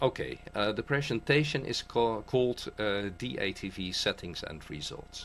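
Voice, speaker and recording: Lively intonation and vocal fry mark a medium-pitched man speaking at a moderate pace. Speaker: amateur radio operator. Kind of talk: technical presentation. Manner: halting, many fillers.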